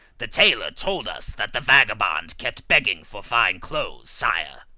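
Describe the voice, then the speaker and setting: In a put-on character voice, a man sounds raspy at a medium pitch, with very wide pitch swings and a moderate pace. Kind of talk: read fable audiobook. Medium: read story.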